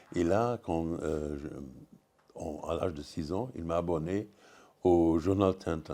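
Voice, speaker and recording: A man speaks very slowly in a very deep, low pitch, his tone dark and mellow with ordinary pitch variation. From Luxembourg. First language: Luxembourgish (speaking French). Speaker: comics writer. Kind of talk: panel discussion. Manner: halting, many hesitations.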